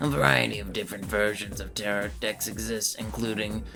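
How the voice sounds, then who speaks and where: Clear music plays behind a man doing a put-on character voice at a fairly low pitch. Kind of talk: comic teacher impression. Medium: game stream. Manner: lecturing, pompous.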